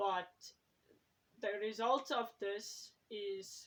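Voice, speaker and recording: A woman with a South African accent speaks at a fairly high pitch. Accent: Afrikaans-accented English. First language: Afrikaans. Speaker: YouTuber and writer. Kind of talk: casual vlog talk. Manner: hesitant, with fillers.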